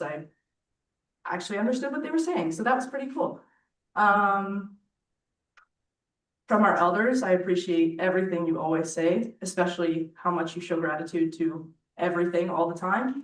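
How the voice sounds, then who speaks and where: Her voice shaky and fairly low in pitch, a woman speaks at a moderate pace. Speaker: youth co-chair. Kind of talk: speech at assembly. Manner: halting.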